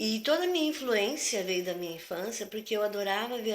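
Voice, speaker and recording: A woman at a very fast pace. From southern Brazil, Porto Alegre. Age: 60s. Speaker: retired physical education teacher. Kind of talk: interview. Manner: conversational, hesitant.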